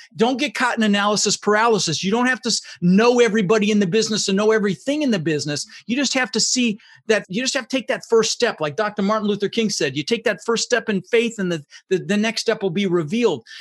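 At a very fast pace, a man with an American accent speaks with a high pitch and ordinary pitch variation. His tone is animated and energetic. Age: 60s. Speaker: real estate investor and podcast host. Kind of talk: motivational pep talk, urging listeners to push through fear and take action; podcast interview, telling his life story. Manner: emphatic and insistent, repeating phrases for punch.

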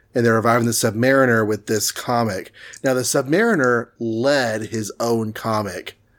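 A man with a plain, everyday voice and an American accent speaks at medium pitch and a fairly slow pace. His pitch varies in an ordinary way on a very clean recording with a silent background. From Texas. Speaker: comic book podcast host. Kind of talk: casual chat.

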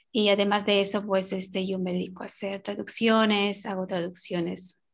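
A woman's medium-pitched voice at a fairly slow pace, flat and monotone. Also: very clean recording, silent background. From Peruvian Andes. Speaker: translator and Quechua community organizer. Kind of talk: casual radio interview.

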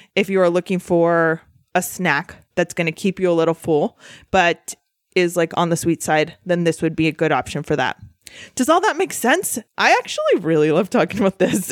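A woman puts on a character voice that is raspy and fairly low in pitch, at a moderate pace. The sound is dry and close, with no echo. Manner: fast talking, enthusiastic.

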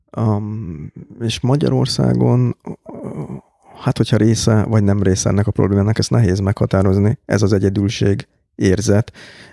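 At a moderate pace, a man with a fairly low pitch speaks with lively intonation and very even loudness, leaving long, frequent pauses, in a dry, close sound with no echo. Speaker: podcast host. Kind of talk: interview.

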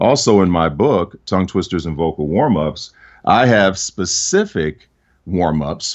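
With an American accent, a man speaks at a fairly slow pace in a very deep, low voice. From US Midwest, Detroit. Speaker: voice actor and coach. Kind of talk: casual chat.

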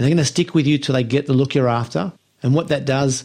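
His pitch rises and falls an ordinary amount. This man has an unremarkable speaking voice. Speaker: podcast host. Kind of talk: casual interview.

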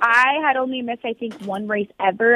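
Here is a plain, everyday voice at a moderate pace. The sound is dry and close, with no echo. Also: woman. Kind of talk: casual chat.

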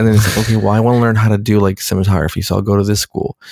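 A man talks very fast with an American accent, his pitch fairly low and his intonation fairly even. The sound is dry and close, with no echo. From Los Angeles, US. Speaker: writer and director. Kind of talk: casual chat.

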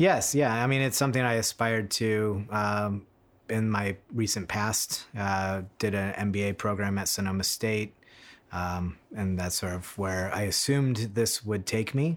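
A man with an unremarkable speaking voice talks at a fairly slow pace, his fairly low pitch showing ordinary pitch variation. The recording is very clean, with a silent background. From US Midwest, Michigan. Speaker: winemaker. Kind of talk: interview. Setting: at the winery in person.

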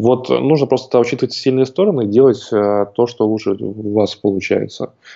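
With a fairly low voice and ordinary pitch variation, a man talks at a fairly quick pace. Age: young. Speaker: online entrepreneur and course creator. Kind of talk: interview. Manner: halting, many filler sounds.

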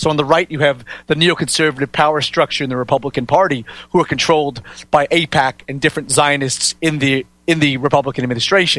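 A man talks at a very fast pace with a fairly high pitch and ordinary pitch variation. His tone is bright and sharp, and the sound is dry and close with no echo. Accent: North American. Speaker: researcher and political activist. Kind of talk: radio interview.

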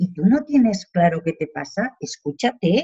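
A woman speaks in a somewhat breathy voice with lively intonation. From Spain, Zaragoza. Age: 50s. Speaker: social worker. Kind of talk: casual interview chat.

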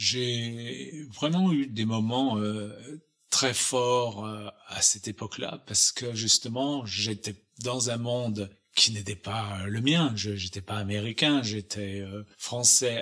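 Very slowly, a man speaks at a medium pitch with ordinary pitch variation and a bright, sharp tone. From France, Chamonix, Haute-Savoie. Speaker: interviewee sharing life story. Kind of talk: testimony. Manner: hesitant, many filler sounds.

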